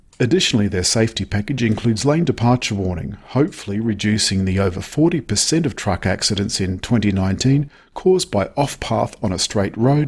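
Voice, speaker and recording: This man's medium-pitched, somewhat breathy voice moves at a moderate pace with lively intonation and hardly any pauses. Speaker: car reviewer. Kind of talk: news reading and chat about cars.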